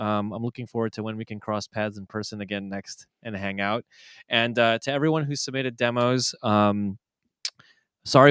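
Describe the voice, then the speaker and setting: With an American accent and a normal speaking voice, a man at medium pitch talks at a fairly quick pace on a very clean recording with a silent background. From Chicago, US Midwest. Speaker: DJ and music producer, show host. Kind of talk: casual chat giving feedback on demo tracks. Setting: live stream.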